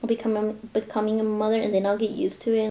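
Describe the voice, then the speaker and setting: Noticeable background noise accompanies words delivered very rapidly. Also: woman. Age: young. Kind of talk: casual talk to camera. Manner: chatty, rambling.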